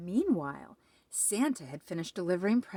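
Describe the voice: Lively intonation over plain reading aloud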